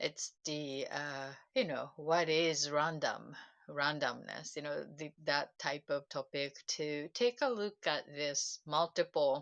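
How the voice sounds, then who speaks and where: In a Japanese accent, a woman speaks at a very slow pace with a very deep, low pitch, the sound dry and close with no echo. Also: ordinary pitch variation, quiet background. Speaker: self-help livestreamer. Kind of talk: casual livestream talk. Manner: halting, many fillers.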